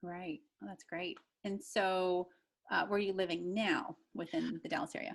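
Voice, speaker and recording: A woman with an American accent uses a normal speaking voice at a medium pitch and moderate pace, with ordinary pitch variation and big swings in loudness. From US Midwest (pop region). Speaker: podcast host. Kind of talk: interview.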